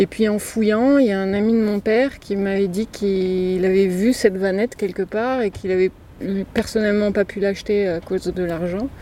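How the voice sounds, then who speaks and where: A woman's dark, mellow, medium-pitched voice, fairly even in intonation, at a moderate pace. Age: 40s. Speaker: van dweller. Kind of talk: interview. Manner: halting.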